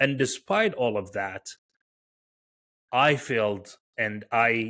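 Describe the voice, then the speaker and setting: A man's bright, sharp voice with an American accent. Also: very clean recording, silent background. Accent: very faint foreign accent, American-sounding. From Iraq, Baghdad. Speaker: tech founder and researcher. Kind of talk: podcast interview. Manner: hesitant, many fillers.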